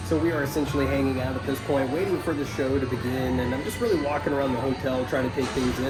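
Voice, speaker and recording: Music plays in the background as a man speaks at a medium pitch with ordinary pitch variation, his voice carrying audible room echo. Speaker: toy collecting vlogger. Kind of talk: casual vlog narration. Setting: concert venue with music playing. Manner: casual with frequent fillers; speaking loudly over music.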